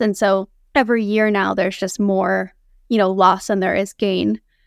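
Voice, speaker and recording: A woman with an American accent has an ordinary speaking voice at medium pitch, with fairly even intonation and a moderate pace. The recording is very clean with a silent background, and the sound is dry and close with no echo. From US Northeast, central Massachusetts. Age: 30s. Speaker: artist and glacier field assistant. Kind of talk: interview. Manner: casual, many filler words.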